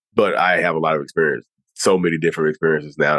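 A man's voice comes across with a dry, close sound and no echo. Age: 30s. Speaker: social media creator on narcissism. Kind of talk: interview.

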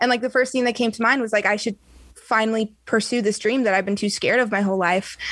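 This woman has a plain, everyday voice, a fairly high pitch and an American accent. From US West Coast, San Diego area. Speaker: singer. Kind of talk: casual interview.

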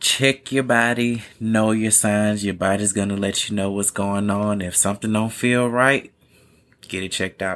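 A man's fairly low-pitched voice at a moderate pace, with fairly even intonation. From US South. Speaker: podcast guest. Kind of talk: casual chat.

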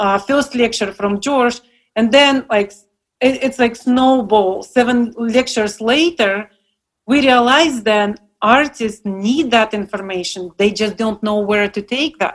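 A woman's fairly high voice in a Russian accent, fairly slow, with ordinary pitch variation. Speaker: paint maker.

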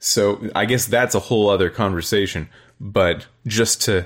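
Over a silent background in a very clean recording, a man talks at a fairly slow pace in a plain, everyday voice. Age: 20s. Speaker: podcaster. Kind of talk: casual chat.

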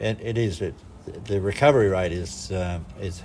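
Here a man speaks in a very deep, low pitch with ordinary pitch variation. His voice is somewhat breathy. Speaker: business owner. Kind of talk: recorded interview. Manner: hesitant, repeating words.

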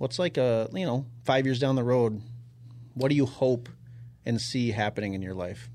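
A man with an American accent at medium pitch, moderate pace and ordinary pitch variation, broken by long, frequent pauses. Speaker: podcast host. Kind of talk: casual interview chat.

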